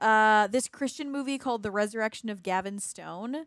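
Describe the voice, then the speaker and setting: In an unremarkable speaking voice, a woman with an American accent talks at a fairly quick pace and fairly high pitch with ordinary pitch variation, on a very clean recording with a silent background. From Sacramento, California. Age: 20s. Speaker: podcast co-host, student and worship leader. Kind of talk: casual chat.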